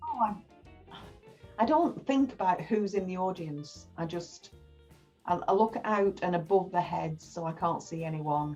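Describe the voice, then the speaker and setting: A woman talks fairly low in pitch while music plays behind her. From England. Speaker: actress. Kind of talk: interview answer. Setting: video call.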